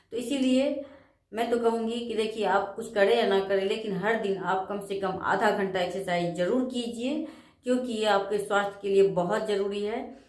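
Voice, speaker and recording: At a fairly slow pace, a woman speaks with fairly even intonation and audible room echo. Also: medium pitch for a woman. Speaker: spiritual self-help vlogger. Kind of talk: motivational talk.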